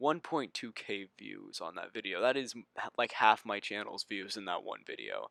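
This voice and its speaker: Dry and close with no echo, a man talks at a moderate pace. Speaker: YouTube commentator. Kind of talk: casual commentary rant. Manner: animated.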